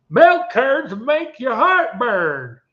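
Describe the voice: A man's put-on character voice in a Southern accent, extremely high in pitch.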